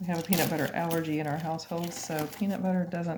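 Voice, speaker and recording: Speaking at a moderate pace with fairly even intonation, a woman with a fairly low pitch is heard over noticeable background noise. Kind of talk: sales presentation. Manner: casual, hesitant with fillers; lower, quieter voice.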